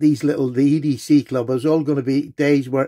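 There's a dark, mellow tone to this man's voice, which moves at a moderate pace against a quiet background. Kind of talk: casual show-and-tell vlog.

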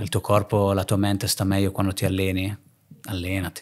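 A man with a very deep, low pitch talks at a fairly quick pace over a quiet background. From northern Italy (Lake Garda area), born in Naples; Northern Italy. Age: 30s. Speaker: entrepreneur, hair transplant clinic owner; podcast guest. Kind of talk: casual interview chat. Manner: halting, frequent repetitions and fillers. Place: home room. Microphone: studio mic.

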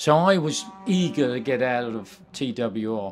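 With a British accent, a man speaks at a very slow pace while faint music plays in the background. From England. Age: 70s. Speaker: retired racing driver. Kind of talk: interview. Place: office. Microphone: handheld.

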